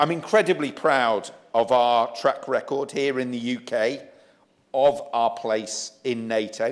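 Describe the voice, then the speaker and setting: Speaking very slowly with a Yorkshire accent, a man uses a medium pitch and ordinary pitch variation. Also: quiet background. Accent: British English, Yorkshire. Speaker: member of parliament. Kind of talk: parliamentary speech. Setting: debating chamber.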